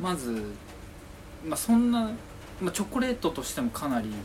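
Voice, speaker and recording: Noticeable background noise sits behind a man speaking fairly quickly. His pitch is fairly high and swings very widely. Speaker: podcast co-host. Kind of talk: casual chat. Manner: soft-spoken; not crisp or loud.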